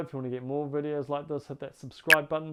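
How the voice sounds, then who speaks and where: A man talks at a very fast pace with a New Zealand accent. His pitch is fairly high. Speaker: relationship coach. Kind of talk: advice monologue to camera. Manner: warm, earnest.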